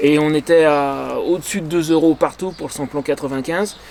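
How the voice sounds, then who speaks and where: A man with a fairly high pitch talks at a moderate pace and with fairly even intonation over noticeable background noise. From France. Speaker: motorcycle travel vlogger. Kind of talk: casual vlog monologue. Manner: hesitant, many fillers.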